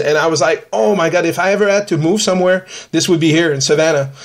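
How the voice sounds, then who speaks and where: A high-pitched man speaks at a fairly quick pace with ordinary pitch variation. Noticeable background noise runs underneath. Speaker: podcast host and ghost hunter. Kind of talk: casual chat. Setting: podcast.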